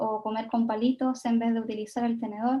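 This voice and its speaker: Speaking fairly slowly, a woman uses a high voice. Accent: Chilean. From Chile. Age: 20s. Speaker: Japanese learning content creator, invited speaker. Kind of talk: talk at online event.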